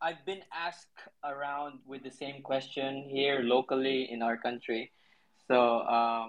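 A man with a Filipino accent speaks at a fairly slow pace and fairly high pitch, his intonation fairly even. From central Philippines. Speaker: graphic artist and designer. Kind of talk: casual interview. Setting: live online audio room. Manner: hesitant, many fillers.

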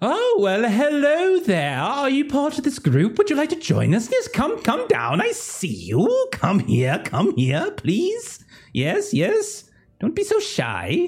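Putting on a character voice, a man talks very slowly at an extremely high pitch. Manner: friendly, welcoming.

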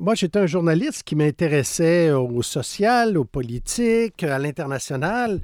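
A man with a Quebec accent speaks at a high pitch with very wide pitch swings, at a fairly slow pace with hardly any pauses. The sound is dry and close with no echo. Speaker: biographer and former journalist. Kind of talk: interview.

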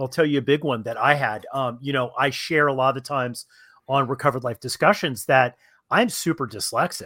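A man speaks in a fairly high voice, a normal speaking voice. The recording is very clean with a silent background. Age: 50s. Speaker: recovery coach and podcast host. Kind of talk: casual chat.

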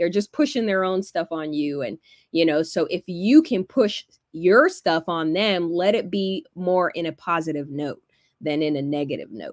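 A woman's fairly low voice with an animated tone, moderate pace and ordinary pitch variation, on a very clean recording with a silent background and a dry, close sound with no echo. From Georgia (Alpharetta, Atlanta area), early childhood in California. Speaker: sports in-game host and media producer. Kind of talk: casual interview.

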